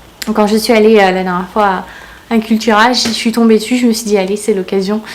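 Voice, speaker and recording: A woman's fairly high, flat, monotone voice at a fairly quick pace, over noticeable background noise. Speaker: booktuber. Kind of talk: casual book haul vlog. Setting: home conservatory. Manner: fast.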